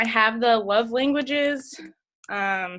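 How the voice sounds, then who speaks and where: On a very clean recording with a silent background, a woman with an American accent and a bright, sharp tone talks with ordinary pitch variation. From northern US. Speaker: fitness coach. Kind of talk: team call presentation. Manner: fast.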